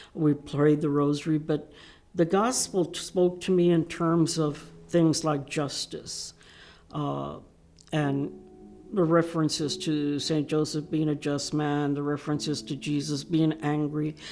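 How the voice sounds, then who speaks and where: With music in the background, a woman with an American accent talks at a fairly slow pace in a very deep, low pitch and fairly even intonation. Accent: Mexican American Texan English. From Texas, San Antonio. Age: 70s. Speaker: civil rights activist. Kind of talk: interview testimony. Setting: virtual panel recording.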